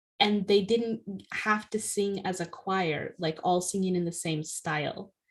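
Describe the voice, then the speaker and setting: A woman with a medium pitch speaks at a fairly slow pace. Her voice is somewhat breathy, and her intonation stays fairly even. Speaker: podcast co-host, author. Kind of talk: casual chat. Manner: fluent, lightly filled with ums.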